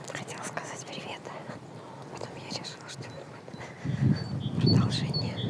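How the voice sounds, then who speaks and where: Over noticeable background noise, a woman whispers at a moderate pace with long, frequent pauses and big swings in loudness. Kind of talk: casual talk to camera. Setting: outdoors, walking. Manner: quiet close whisper.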